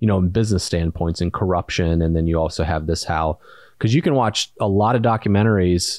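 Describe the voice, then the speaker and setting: An ordinary speaking voice moves at a fairly quick pace with lively intonation over a quiet background. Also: man. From US Midwest, Indiana. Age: 30s. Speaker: podcast co-host and entrepreneur. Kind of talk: casual chat.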